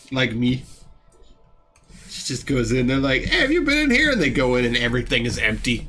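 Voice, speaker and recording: A man at a fairly quick pace with long, frequent pauses, music in the background, and audible room echo. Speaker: artist streamer. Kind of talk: casual chat. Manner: loud.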